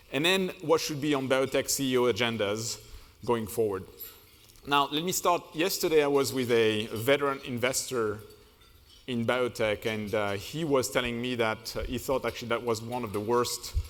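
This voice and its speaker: A man's medium-pitched voice, with ordinary pitch variation, moves along at a moderate pace. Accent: French. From France. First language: French. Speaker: management consultant. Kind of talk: keynote speech. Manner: hesitant, many fillers.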